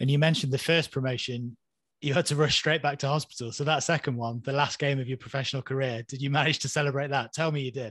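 A man at a very fast pace with a fairly high pitch and monotone, flat intonation, in a dry sound with no echo against a quiet background. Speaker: podcast host. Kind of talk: casual chat. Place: home room. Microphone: webcam.

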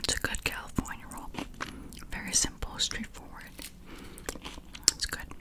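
A woman whispers at a moderate pace, with long pauses coming often. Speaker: food ASMR creator. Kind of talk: ASMR eating video, whispered talk to camera. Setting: close-mic recording. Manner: whispered, soft-spoken. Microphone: handheld.

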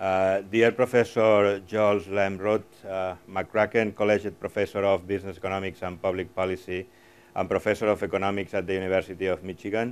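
A man's very deep, low voice in a monotone, flat delivery. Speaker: host giving welcome remarks. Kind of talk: formal welcome speech. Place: hall. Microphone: lapel.

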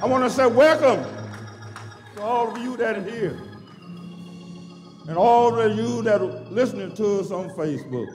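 Faint music plays in the background as a man speaks at a high pitch and a moderate pace. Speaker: church minister leading worship. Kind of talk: sermon-style worship welcome. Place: church. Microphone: handheld.

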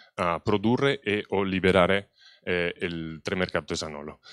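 A man talks in a normal speaking voice at a fairly low pitch with ordinary pitch variation. The sound is dry with no echo, and the background is quiet. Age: young. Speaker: wine researcher; presenter. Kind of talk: conference talk. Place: hall. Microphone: handheld.

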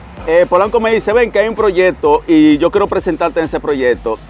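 A man in a dry sound with no echo, faint music in the background. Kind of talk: interview answer. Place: street.

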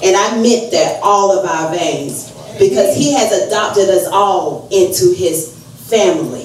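At a very slow pace, a woman speaks with very wide pitch swings, with audible room echo and light background noise. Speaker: speaker. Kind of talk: sermon. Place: church.

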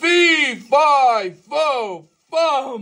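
A put-on character voice at a high pitch. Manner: menacing, thunderous.

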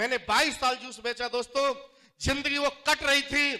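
Over a quiet background, a raised, projected voice with a bright, sharp tone speaks at a fairly slow pace in a monotone, flat intonation. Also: man. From Jattari, Aligarh district, Uttar Pradesh, India; Uttar Pradesh, India. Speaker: network marketing distributor, former juice seller; former juice seller. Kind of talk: motivational stage speech. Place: hall.

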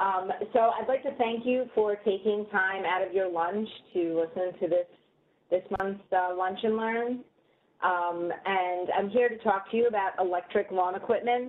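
Fairly even in intonation, a woman speaks at a fairly slow pace. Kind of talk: webinar presentation. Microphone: video call.

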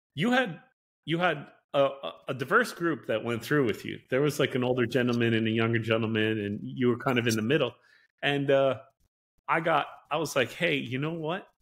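Speaking in an American accent, a man moves at a fairly quick pace with ordinary pitch variation. He leaves long, frequent pauses against a quiet background. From upstate New York. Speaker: podcast host. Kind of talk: casual chat. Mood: friendly, relaxed. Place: home room. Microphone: video call.

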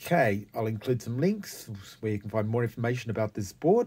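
A man's voice, somewhat breathy and dark, mellow in tone, carries ordinary pitch variation. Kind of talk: casual demo narration. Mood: pleased, relaxed. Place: workshop. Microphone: phone near.

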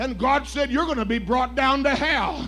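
Music is audible behind the speech. The voice is a man's. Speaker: preacher. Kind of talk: sermon. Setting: church. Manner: animated; loud. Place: church.

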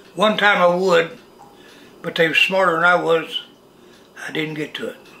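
A man with a rural Missouri accent and a high pitch speaks at a moderate pace with fairly even intonation. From Missouri, USA. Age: 80s+. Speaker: farmer. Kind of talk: interview answer. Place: kitchen.

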